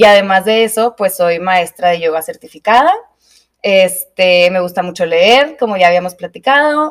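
A woman with a Mexican accent at medium pitch and a moderate pace, with lively intonation. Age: 20s. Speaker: podcast co-host, yoga teacher. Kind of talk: casual chat. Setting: studio.

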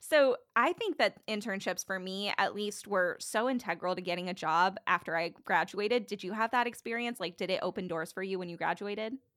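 With a normal speaking voice, a woman talks at a fairly quick pace and ordinary pitch variation. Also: medium pitch for a woman. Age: 20s. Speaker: podcast host. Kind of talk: casual interview chat.

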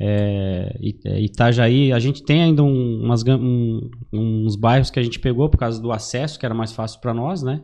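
A man's dark, mellow voice at medium pitch, with fairly even intonation and a moderate pace. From Santa Catarina highlands, Brazil (Lages). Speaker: credit agent. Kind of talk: casual podcast interview.

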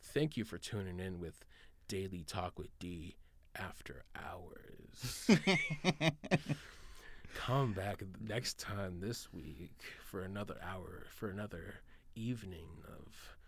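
A man uses a put-on character voice, pitched very deep and low, with big swings in loudness. He talks at a fairly slow pace with ordinary pitch variation and long, frequent pauses. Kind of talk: broadcast outro.

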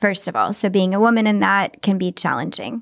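This woman has a plain, everyday voice, medium in pitch, with an American accent. She talks at a fairly quick pace. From Texas. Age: 40s. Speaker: interior designer and business owner. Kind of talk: casual interview chat.

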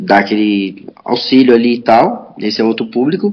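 A man with an unremarkable speaking voice. He talks at a moderate pace and a medium pitch. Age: 30s. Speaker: skateboarder and skate teacher. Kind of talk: casual chat.

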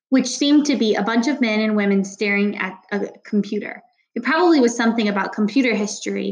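A plain read-aloud delivery with ordinary pitch variation.

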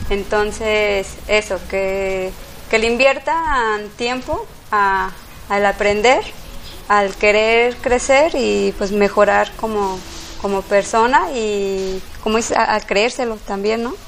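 A fairly high-pitched woman at a very slow pace, with ordinary pitch variation and noticeable background noise. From Mexico, Guadalajara. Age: 30s. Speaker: café owner. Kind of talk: interview. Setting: café. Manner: halting.

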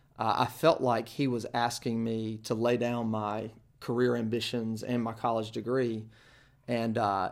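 In a Southern US accent, a man delivers his words at a medium pitch with monotone, flat intonation. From eastern North Carolina (Kinston). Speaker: church planter, former campus ministry director. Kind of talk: interview testimony.

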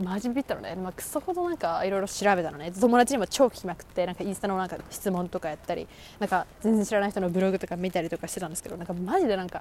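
Talking at a very fast pace with hardly any pauses, a woman keeps a medium pitch and ordinary pitch variation. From Japan. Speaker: podcast host, university student. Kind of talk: casual monologue. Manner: animated.

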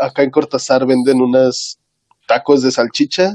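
A man's medium-pitched voice, dark and mellow in tone, dry and close with no echo. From Mexico, Oaxaca. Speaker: podcast co-host. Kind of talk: casual chat.

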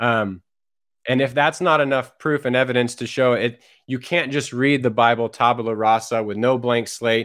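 Here a man has an unremarkable speaking voice at a medium pitch. He talks at a moderate pace with ordinary pitch variation. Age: 40s. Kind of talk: casual conversation.

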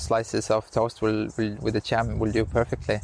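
The man speaks with an Estonian accent. His pitch is fairly low. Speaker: Ironman triathlete. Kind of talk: interview. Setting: outdoors.

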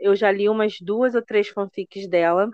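In a plain, everyday voice, a woman talks at a moderate pace and medium pitch with ordinary pitch variation. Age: 40s. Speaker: podcast host. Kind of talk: casual chat.

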